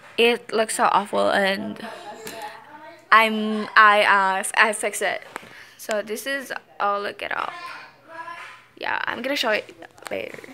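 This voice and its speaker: At a very slow pace with long, frequent pauses, a woman with a non-native accent speaks with ordinary pitch variation over light background noise. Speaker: vlogger. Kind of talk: casual talk to camera. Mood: light, self-mocking. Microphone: phone near.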